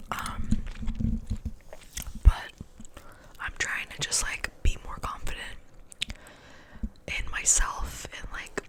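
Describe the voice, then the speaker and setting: A woman whispers at a very slow pace with long, frequent pauses and big swings in loudness. Noticeable background noise is present. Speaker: ASMR creator. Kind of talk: ASMR whisper ramble. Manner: soft-spoken, whispered, casual, rambling.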